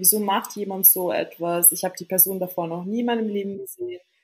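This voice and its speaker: At a fairly quick pace, a woman speaks at a medium pitch in a somewhat breathy voice with fairly even intonation. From Austria, Vienna. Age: 20s. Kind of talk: casual interview. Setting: remote call.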